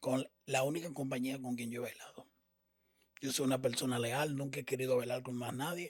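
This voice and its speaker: At a fairly quick pace, a man speaks with medium pitch. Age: 50s. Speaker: salsa dancer. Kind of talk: interview storytelling. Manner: animated.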